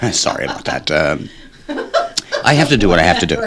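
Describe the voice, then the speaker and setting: Rather fast male speech over noticeable background noise. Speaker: radio show co-host. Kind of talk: casual radio chat.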